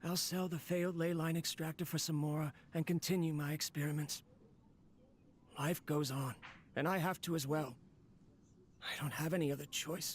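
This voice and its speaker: Someone does a put-on character voice at a middle pitch and moderate pace, with long, frequent pauses. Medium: video game. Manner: melancholic, self-talking.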